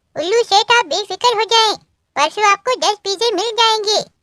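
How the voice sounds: A woman puts on a cartoonish character voice, squeaky and extremely high in pitch. She talks at a moderate pace.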